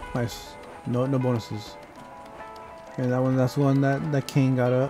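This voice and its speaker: Against music in the background, a man speaks at a moderate pace with very even loudness and fairly even intonation. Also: medium pitch for a man. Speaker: gaming commentator. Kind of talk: casual gameplay commentary.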